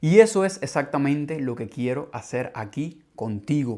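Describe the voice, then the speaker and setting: A man with a normal speaking voice at a fairly slow pace, lively intonation throughout, in a very clean recording over a silent background. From Cuba. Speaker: language teacher, podcast host. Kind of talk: scripted podcast monologue for learners. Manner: clear, measured.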